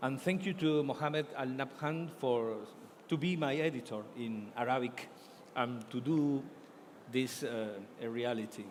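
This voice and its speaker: A man's medium-pitched voice with an Argentine accent, ordinary pitch variation, a fairly slow pace and long, frequent pauses. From Argentina. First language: Spanish. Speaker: author and journalist. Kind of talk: book fair talk. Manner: halting.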